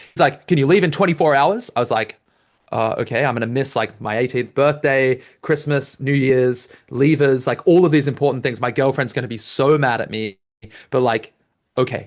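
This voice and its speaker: At a moderate pace and medium pitch, a man with an Australian accent speaks in an animated tone with ordinary pitch variation. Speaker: debate coach. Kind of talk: lecture.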